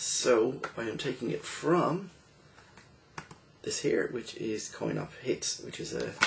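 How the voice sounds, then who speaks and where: Noticeable background noise accompanies a man who speaks at a very slow pace with long, frequent pauses. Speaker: retro game reviewer. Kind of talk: casual game review commentary.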